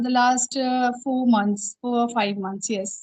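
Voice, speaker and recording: A woman with an Indian accent speaks at a fairly slow pace in a high pitch. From India, Uttar Pradesh. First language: Hindi. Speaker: English teacher and learner. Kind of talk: interview-style English practice conversation. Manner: halting, many fillers.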